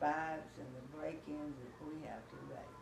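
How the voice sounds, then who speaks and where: A woman talks at a fairly slow pace in an American accent. Noticeable background noise runs behind her. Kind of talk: interview answer.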